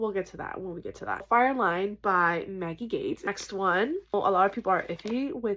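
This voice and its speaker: At a moderate pace and medium pitch, a woman speaks with ordinary pitch variation in a very clean recording with a silent background. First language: not English. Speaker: book youtuber. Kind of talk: casual vlog chat. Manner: halting, stumbles on words.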